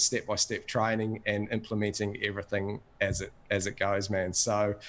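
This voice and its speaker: In an Australian accent, a man with a fairly low pitch talks at a moderate pace on a very clean recording with a silent background. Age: 40s. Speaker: course member giving testimonial. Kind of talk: testimony.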